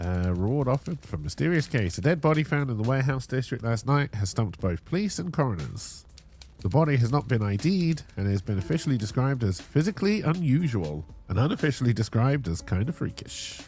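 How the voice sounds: A man talks at a fairly quick pace with a medium pitch. His tone is slightly mellow, and his pitch swings widely.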